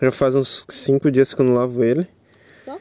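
This man speaks fairly quickly in a fairly high pitch, recorded with a dry, close sound and no echo. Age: 20s. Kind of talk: casual chat. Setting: outdoors.

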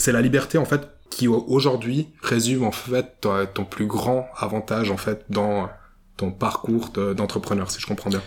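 In a normal speaking voice, a man talks at a fairly slow pace and medium pitch with ordinary pitch variation. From Switzerland, Vevey (Romandy). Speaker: podcast host. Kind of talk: interview. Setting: borrowed office space in Vevey.

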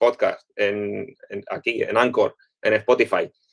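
At a very slow pace, a man speaks in a dry, close recording with no echo. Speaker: podcast co-host, online shop owner. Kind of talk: casual chat.

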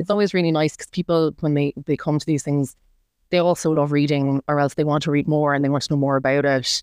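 This woman has a very deep, low voice and fairly even intonation. She talks at a very fast pace. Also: dry, close sound with no echo. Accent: Irish. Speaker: book blogger and nurse. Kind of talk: casual chat interview. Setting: in person.

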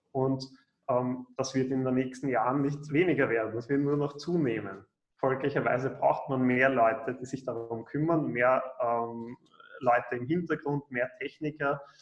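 A man talks with fairly even intonation. His pitch sits at a medium level. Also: fairly slow pace. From Austria, Vienna. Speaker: programmer and coding trainer. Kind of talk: interview.

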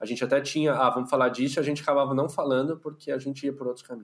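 A man talking at a very fast pace. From São Paulo city, Brazil. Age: 30s. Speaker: podcaster, clinical psychologist. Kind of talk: casual interview chat.

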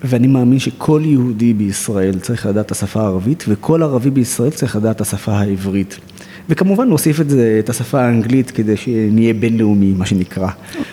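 Noticeable background noise sits behind a man speaking at a medium pitch. He uses ordinary pitch variation and hardly any pauses. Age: 30s. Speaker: social activist, nonprofit director. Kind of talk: interview.

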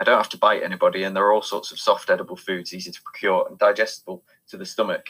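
Someone is doing plain reading aloud. The background is quiet.

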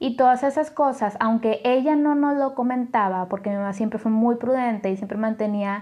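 Her voice sits at a fairly high pitch with ordinary pitch variation. The woman speaks at a moderate pace. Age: 30s. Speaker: podcast host. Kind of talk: personal testimony monologue. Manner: halting, many fillers.

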